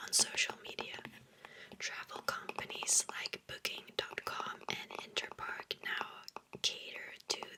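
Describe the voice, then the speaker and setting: Someone whispers at a very slow pace over noticeable background noise. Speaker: ASMR content creator. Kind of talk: ASMR whisper reading of facts. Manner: whispered, soft-spoken.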